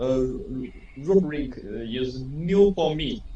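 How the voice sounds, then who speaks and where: A man talks very slowly, and audible room echo can be heard around him. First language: Chinese. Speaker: engineer. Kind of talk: self-introduction in training. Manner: halting.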